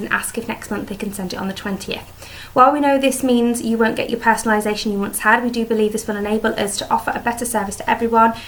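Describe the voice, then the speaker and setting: Over noticeable background noise, a woman with a British accent talks very fast in a monotone, flat intonation. Her pitch is fairly high. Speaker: beauty vlogger. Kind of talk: casual vlog product review. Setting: home dining room.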